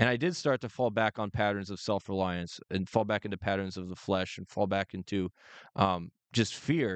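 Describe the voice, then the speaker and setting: A man speaks with ordinary pitch variation in an unremarkable speaking voice, the sound dry and close with no echo against a quiet background. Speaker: co-host. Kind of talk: faith-based podcast discussion.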